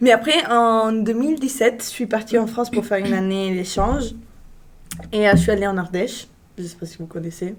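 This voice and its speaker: A woman's fairly high voice at a fairly quick pace, with big swings in loudness and noticeable background noise. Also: ordinary pitch variation. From Italy. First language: Italian (speaking French). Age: 20s. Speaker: international student. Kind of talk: casual chat. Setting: live stream.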